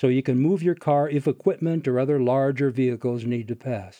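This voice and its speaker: A man with medium pitch talks in an ordinary speaking voice with ordinary pitch variation. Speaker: tour guide. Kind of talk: scripted narration, audio tour guide. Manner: measured, clear, formal.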